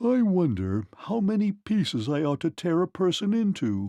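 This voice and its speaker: A man does a put-on character voice at a high pitch. He keeps a moderate pace over a quiet background. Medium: read story. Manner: yawning, leisurely.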